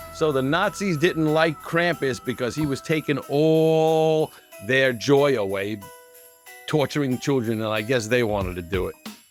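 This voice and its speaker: Over music in the background, a man speaks slowly-ish at a fairly slow pace, his fairly high voice carrying lively intonation. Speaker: YouTube host. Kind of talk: casual read-aloud of a holiday folklore book.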